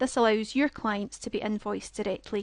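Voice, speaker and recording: A woman's fairly high voice with a Scottish accent, at a moderate pace and with fairly even intonation, in a dry, close sound with no echo against a quiet background. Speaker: software product trainer. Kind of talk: webinar presentation. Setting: online webinar with screen share.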